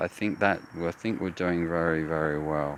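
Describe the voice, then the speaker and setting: Noticeable background noise sits under the voice. A man speaks with fairly even intonation. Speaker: walking vlogger. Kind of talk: casual monologue. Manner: slow; clear enunciation.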